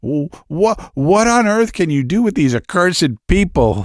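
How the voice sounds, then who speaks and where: A man's put-on, whiny character voice, high-pitched with very wide pitch swings, at a fairly slow pace and very even loudness, in a very clean, dry, close recording with no echo and a silent background. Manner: whining, complaining.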